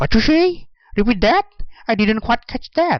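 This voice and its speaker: A put-on character voice at a fairly high pitch. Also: moderate pace. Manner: confused, asking for repetition.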